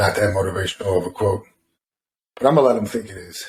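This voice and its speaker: A man's slightly breathy voice shows a normal amount of pitch movement. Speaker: bodybuilder podcast co-host. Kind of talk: casual chat. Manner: halting.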